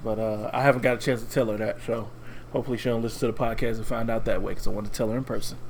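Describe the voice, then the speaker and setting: Amid audible room echo, a man rattles along at a very fast pace in a monotone, flat voice. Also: medium pitch for a man. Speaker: podcast co-host. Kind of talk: casual chat. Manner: low energy.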